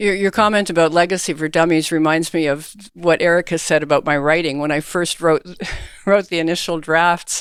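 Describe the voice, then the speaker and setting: A woman with a Canadian accent and a normal speaking voice, fairly low in pitch, at a fairly quick pace with fairly even intonation. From Canada. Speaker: author. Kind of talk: interview.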